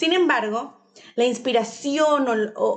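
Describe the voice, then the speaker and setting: A woman is speaking. Her voice sits high in pitch. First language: English (speaking Spanish). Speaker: preschool teacher and podcast host. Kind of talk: podcast introduction monologue.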